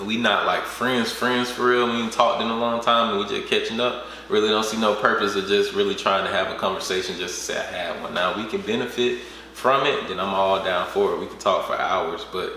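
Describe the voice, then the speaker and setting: A man speaks at a fairly quick pace, with audible room echo and noticeable background noise around him. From US South, Georgia. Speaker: entrepreneur. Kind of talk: interview. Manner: casual.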